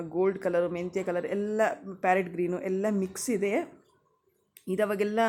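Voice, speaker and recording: A woman's medium-pitched voice with a dark, mellow tone on a very clean recording with a silent background. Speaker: lifestyle vlogger. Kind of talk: voiceover narration.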